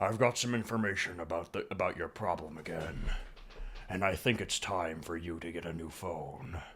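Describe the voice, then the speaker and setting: A man puts on a raspy character voice, very deep and low in pitch, at a moderate pace. Background noise comes through clearly. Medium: solo performance. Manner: calm, gentle.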